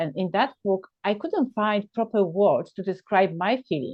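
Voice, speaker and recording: A woman speaks in a Polish accent at a moderate pace. Her pitch is medium, with ordinary variation. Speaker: podcast host. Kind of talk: casual chat. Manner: animated.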